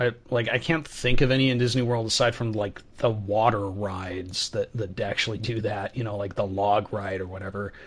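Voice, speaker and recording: Against a silent background in a very clean recording, a man talks at a fairly quick pace, somewhat breathy. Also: fairly low pitch for a man, fairly even intonation. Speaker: podcast host. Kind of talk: casual chat.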